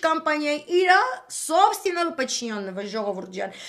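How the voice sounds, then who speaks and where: Very wide pitch swings mark this speech, which proceeds at a fairly slow pace. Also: woman. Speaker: political commentator. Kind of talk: live stream monologue. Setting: live video stream at night.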